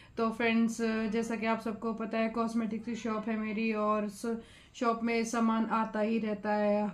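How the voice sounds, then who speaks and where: In a room with audible echo, a woman speaks in a fairly high pitch with monotone, flat intonation. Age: 50s. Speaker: cosmetics shop owner, vlogger. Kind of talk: product showcase vlog. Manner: casual, conversational.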